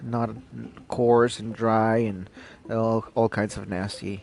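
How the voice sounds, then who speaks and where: Over noticeable background noise, a man speaks very slowly at a medium pitch in a monotone, flat way. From Ecuador, Quito. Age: 20s. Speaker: podcast host. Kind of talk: casual Q&A monologue. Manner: halting, many fillers.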